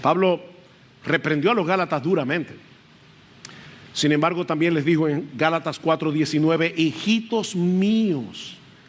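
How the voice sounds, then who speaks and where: Pausing long and often, a man talks at a fairly slow pace with ordinary pitch variation and very even loudness. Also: fairly high pitch for a man. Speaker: pastor. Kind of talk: sermon. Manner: loud at times.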